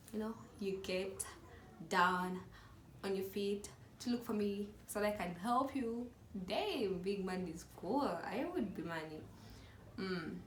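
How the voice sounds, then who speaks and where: The voice is animated, with ordinary pitch variation, a fairly slow pace and long, frequent pauses. Audible room echo and noticeable background noise are present. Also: woman, medium pitch for a woman. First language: not English. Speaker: YouTuber. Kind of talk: casual vlog chat.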